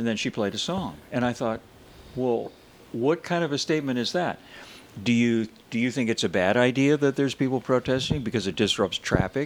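At a fairly quick pace, a man speaks in an unremarkable speaking voice, medium in pitch with ordinary pitch variation. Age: 60s.

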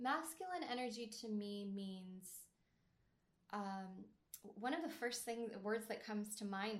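Somewhat breathy and medium in pitch, a woman talks at a fairly slow pace with ordinary pitch variation. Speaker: dating coach. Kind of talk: interview conversation.

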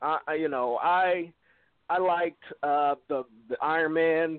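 This is a man's voice. His pitch sits high. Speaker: caller. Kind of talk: casual call-in discussion. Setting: phone call.

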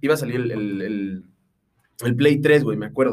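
A man with lively intonation. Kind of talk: casual chat.

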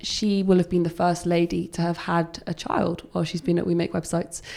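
A woman speaks with an English accent. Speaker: head of projects at web agency. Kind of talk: casual interview chat.

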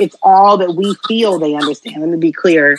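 Her voice is a normal speaking voice, medium in pitch, and this woman talks with lively intonation in an American accent, in a dry, close sound with no echo. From Texas. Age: 30s. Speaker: podcast host and chef. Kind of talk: casual chat.

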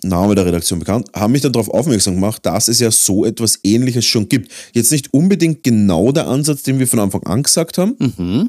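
In an Austrian accent, a man speaks at a fairly quick pace with a dark, mellow tone. His intonation is lively, and the recording is very clean with a silent background. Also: medium pitch for a man. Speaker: podcast host and miniature painter. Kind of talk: casual chat.

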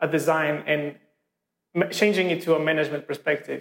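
A man talks at a fairly quick pace with a Portuguese accent. His pitch sits fairly high. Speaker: podcast host. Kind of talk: interview. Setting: office. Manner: halting.

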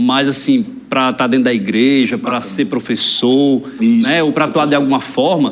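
Against noticeable background noise, a man with a Rio Grande do Norte accent speaks at a moderate pace, his pitch swinging very widely. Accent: Brazilian northeastern (potiguar) Portuguese. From Brazil, Rio Grande do Norte (Mossoró area). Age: 20s. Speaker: politician, mayor-elect. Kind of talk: interview, casual chat. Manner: articulate public speaker.

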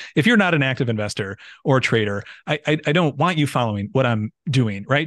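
Recorded with a dry, close sound and no echo, a man speaks at medium pitch with ordinary pitch variation. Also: quiet background. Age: 30s. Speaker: macro trader and finance channel creator. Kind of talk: casual chat.

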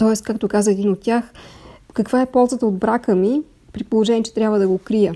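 A woman speaks with a dark, mellow tone at a fairly high pitch and with fairly even intonation. The recording is very clean, with a silent background. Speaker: screenwriter. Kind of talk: recorded interview answers.

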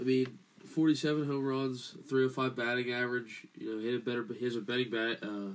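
A man with a plain, everyday voice speaks at a medium pitch with fairly even intonation. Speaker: sports podcast co-host. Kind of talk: casual sports banter.

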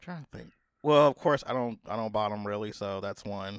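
The recording is very clean with a silent background. A man speaks in a dry, close sound with no echo. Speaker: podcast host. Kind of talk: casual chat.

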